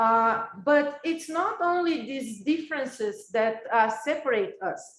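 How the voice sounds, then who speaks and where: A woman with a Brazilian accent speaks very slowly at a high pitch, her voice making very wide pitch swings with hardly any pauses. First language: Brazilian Portuguese. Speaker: professor. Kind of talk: lecture. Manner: halting.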